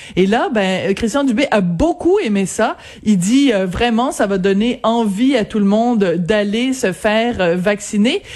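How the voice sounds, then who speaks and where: Over noticeable background noise, a woman with a fairly high pitch speaks at a fairly slow pace in an animated tone, with lively intonation and very even loudness. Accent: Quebec. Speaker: radio columnist. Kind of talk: radio commentary.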